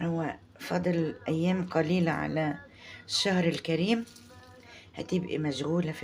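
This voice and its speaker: Speaking in an Egyptian accent, a woman with a very deep, low pitch keeps a fairly slow pace. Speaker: home cooking channel host. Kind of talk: cooking tutorial. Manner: halting, many restarts.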